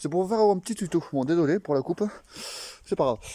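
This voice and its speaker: The man's dark, mellow tone carries lively intonation, with a dry, close sound and no echo. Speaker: moped enthusiast vlogger. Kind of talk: tutorial. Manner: halting, many fillers.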